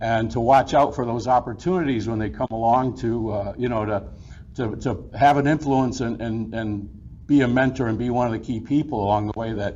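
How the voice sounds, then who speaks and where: Noticeable background noise is present throughout. The speech keeps a moderate pace and shows ordinary pitch variation. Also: man, medium pitch for a man. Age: 60s. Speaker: business owner receiving award. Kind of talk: acceptance speech. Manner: halting, many fillers and repeats.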